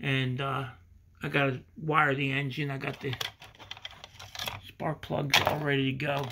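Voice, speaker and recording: Against noticeable background noise, a man with an American accent speaks in a monotone, flat way with long, frequent pauses. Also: fairly slow pace. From Pennsylvania, USA. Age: 60s. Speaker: hobby model car builder. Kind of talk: casual talk to camera. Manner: casual, halting. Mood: relaxed, self-deprecating. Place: workshop. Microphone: phone near.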